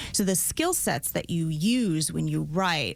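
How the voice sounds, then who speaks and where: A woman speaks at a moderate pace with a Minnesota accent. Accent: Minnesota accent, always noticeable. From rural Minnesota. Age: 40s. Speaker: prosecutor. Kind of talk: interview.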